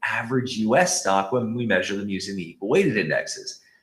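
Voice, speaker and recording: Somewhat breathy, a man talks at a fairly quick pace, his pitch swinging very widely. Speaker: investment strategist. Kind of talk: webinar presentation. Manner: fast.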